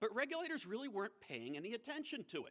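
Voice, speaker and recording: A man with an American accent uses a raised, projected voice with a bright, sharp tone. His pitch swings very widely. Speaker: former financial regulator giving a keynote speech. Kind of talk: conference keynote speech.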